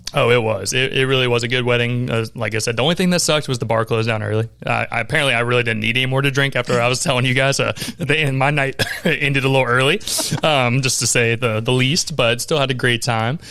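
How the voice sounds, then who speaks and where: A man with an American accent speaks very fast at a medium pitch, with fairly even intonation and very even loudness. Noticeable background noise runs underneath. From Jacksonville, Florida. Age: 20s. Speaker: podcast host. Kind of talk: casual interview chat.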